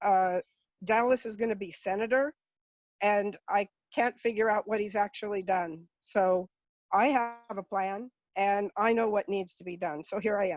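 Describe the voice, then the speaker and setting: At a fairly slow pace, the voice holds fairly even intonation. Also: woman. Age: 60s. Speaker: political candidate. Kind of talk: interview answers. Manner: hesitant, with fillers.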